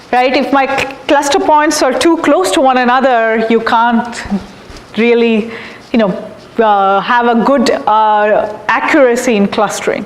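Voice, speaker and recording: A woman talks at a fairly slow pace in a high pitch with ordinary pitch variation and very even loudness. Audible room echo and noticeable background noise are present. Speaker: professor. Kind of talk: lecture. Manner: halting.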